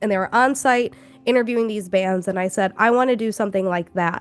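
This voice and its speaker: In an American accent, a woman with a normal speaking voice and a medium pitch talks at a fairly quick pace with ordinary pitch variation. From Chicago, Illinois. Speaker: professor and content creator. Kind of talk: interview, personal story. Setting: video call.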